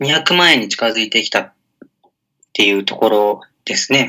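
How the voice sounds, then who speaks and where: A man speaks with lively intonation. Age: 20s. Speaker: blogger and web entrepreneur. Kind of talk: interview.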